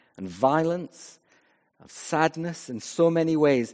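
The man speaks with ordinary pitch variation. The recording is very clean, with a silent background. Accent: west of Scotland. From west of Scotland. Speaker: vicar. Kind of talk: sermon. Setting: church.

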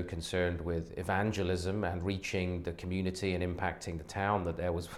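In a slight West Country accent, a man with a very deep, low pitch speaks at a moderate pace with monotone, flat intonation. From southwest England, Wiltshire. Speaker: pastor and theologian. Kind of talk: interview conversation.

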